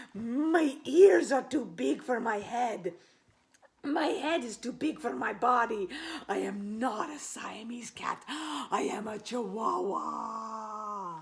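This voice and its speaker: In a put-on character voice with a Spanish accent, someone speaks at a very slow pace in a fairly high pitch. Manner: playful, comical.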